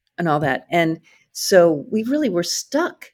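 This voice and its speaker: A woman speaks at a moderate pace in an American accent. Her pitch swings very widely. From rural Iowa. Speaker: company CEO. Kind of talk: interview conversation.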